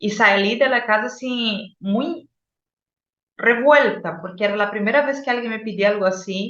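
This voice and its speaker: A woman with a Brazilian accent speaks at a fairly slow pace with a fairly high pitch and ordinary pitch variation. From Brazil, Boa Vista. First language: Portuguese (speaking Spanish). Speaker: psychologist and oral storyteller. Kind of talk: interview storytelling.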